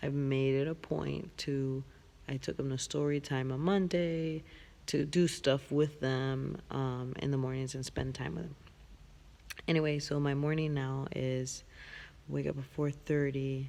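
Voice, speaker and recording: Quiet speech at a fairly slow pace. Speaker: vlogger. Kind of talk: casual vlog monologue. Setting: big empty room. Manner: talking quietly.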